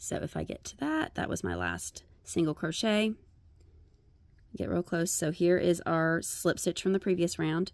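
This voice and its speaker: The recording is very clean, and the background is silent. A woman speaks at a moderate pace. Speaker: crochet tutorial creator. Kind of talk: tutorial.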